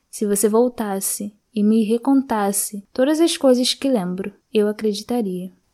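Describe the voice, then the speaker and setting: A woman speaks at a fairly slow pace with a fairly high pitch. It is a normal speaking voice. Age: 20s. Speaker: library reader, student. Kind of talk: reading aloud.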